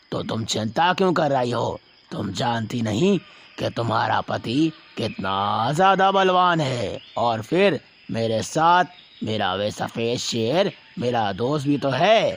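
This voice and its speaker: A man's cartoonish character voice at a medium pitch. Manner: warm, confident.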